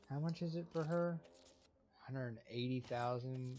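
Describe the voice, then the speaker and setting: A man whispers quietly. Noticeable background noise can be heard. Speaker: gaming YouTuber. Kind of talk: gameplay commentary. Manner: quiet, near whispering; casual, halting.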